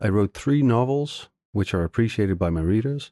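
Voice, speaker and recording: A man with a Dutch accent speaks at a moderate pace in a fairly low pitch, his tone dark and mellow and his intonation lively, recorded dry and close with no echo. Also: quiet background. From Netherlands. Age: 60s. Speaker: novelist. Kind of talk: interview.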